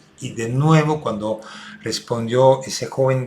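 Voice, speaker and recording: A man speaks at a medium pitch. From Belgium. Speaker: restorative justice consultant. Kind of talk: recorded talk for online seminar. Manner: hesitant with many fillers.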